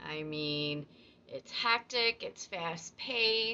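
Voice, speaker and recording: Using a plain, everyday voice, a woman talks at a fairly slow pace with lively intonation and a fairly low pitch. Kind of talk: casual explainer talk to camera, educational fun-fact narration.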